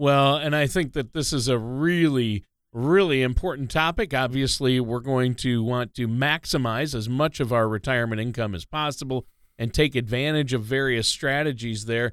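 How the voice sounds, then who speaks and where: In a very clean recording with a silent background, a man with an ordinary speaking voice talks at a moderate pace and medium pitch, with ordinary pitch variation. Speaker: radio co-host. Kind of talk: radio talk show. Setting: studio.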